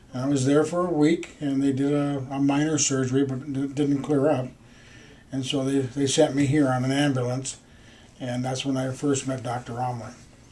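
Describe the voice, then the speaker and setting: With an American accent and a dark, mellow tone, a man speaks at a moderate pace in a fairly high pitch and monotone, flat intonation, with audible room echo around him. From US Midwest, Minneapolis, Minnesota. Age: 60s. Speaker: patient. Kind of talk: patient testimonial interview. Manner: halting, with fillers.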